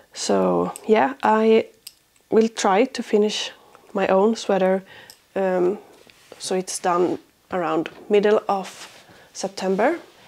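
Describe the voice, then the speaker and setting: In a Swedish accent, a woman speaks very slowly with ordinary pitch variation and long, frequent pauses. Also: medium pitch for a woman. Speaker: crafting podcaster. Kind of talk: casual vlog chat. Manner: hesitant, many fillers.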